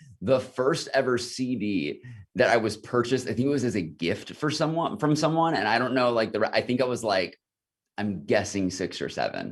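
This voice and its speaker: Lively intonation marks this man's speech. His pitch is medium. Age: 30s. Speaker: founder of a school leadership training program. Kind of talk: casual interview. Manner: fast.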